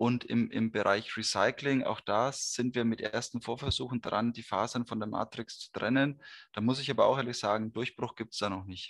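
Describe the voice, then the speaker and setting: A man with an unremarkable speaking voice talks at medium pitch and a moderate pace with fairly even intonation. The recording is very clean with a silent background, and the sound is dry and close with no echo. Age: 30s. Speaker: materials scientist, R&D manager. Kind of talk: interview.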